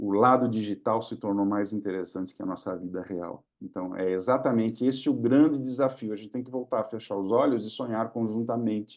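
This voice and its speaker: Pitch varies in an ordinary way as the words come at a moderate pace over a quiet background. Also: man. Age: 60s. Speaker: government digital policy official and speaker. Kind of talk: webinar Q&A answer. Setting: online webinar. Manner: conversational, with hesitations and repetitions.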